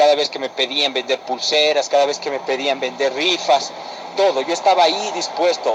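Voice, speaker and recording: Over noticeable background noise, a man with a fairly high voice talks at a fairly quick pace with fairly even intonation. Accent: Ecuadorian. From Ecuador. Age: 20s. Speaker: former church youth leader. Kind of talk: personal testimony.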